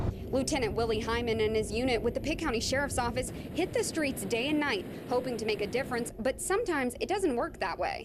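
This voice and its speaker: A woman with a high pitch at a fairly quick pace, hardly any pauses and very even loudness, over noticeable background noise. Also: lively intonation. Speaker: television news reporter. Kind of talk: broadcast news reporter delivery.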